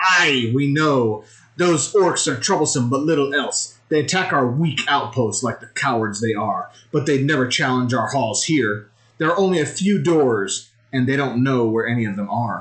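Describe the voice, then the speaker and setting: A man's gravelly, put-on character voice, medium in pitch, at a moderate pace. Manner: gruff, hearty laugh.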